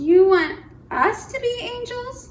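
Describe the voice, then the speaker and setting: An extremely high-pitched put-on character voice from a woman. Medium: read story.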